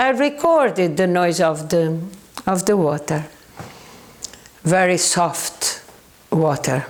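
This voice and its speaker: Speaking very slowly with long, frequent pauses, a woman with a Portuguese accent keeps a medium pitch, very wide pitch swings and very even loudness, amid noticeable background noise and audible room echo. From southern Portugal. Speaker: paranormal researcher. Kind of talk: educational talk. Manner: halting.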